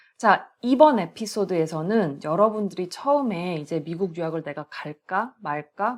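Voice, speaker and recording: A woman with a normal speaking voice talks at a moderate pace. Her medium pitch carries lively intonation. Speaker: podcast host, professor. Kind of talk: casual podcast talk.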